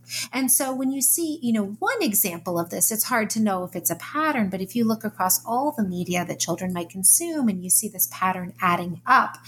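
A woman talks in an ordinary speaking voice at medium pitch. Her pace is fairly quick and her intonation lively. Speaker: psychology professor and author. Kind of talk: interview.

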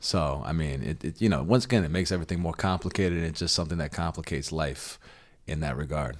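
Over a silent background in a very clean recording, a man with a very deep, low pitch and vocal fry speaks very fast. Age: 30s. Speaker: philosopher. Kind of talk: casual chat.

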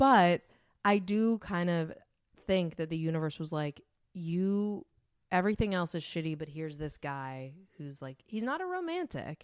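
A woman speaks at a fairly low pitch with ordinary pitch variation and a moderate pace. The recording is very clean with a silent background and a dry, close sound with no echo. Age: 30s. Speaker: stand-up comedian. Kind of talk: casual chat. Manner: not loud.

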